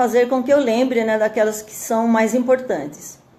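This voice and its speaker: Here is a woman speaking. Her pitch is fairly high. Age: 60s. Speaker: churchgoing mother giving testimony. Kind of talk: testimony. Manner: halting, many fillers.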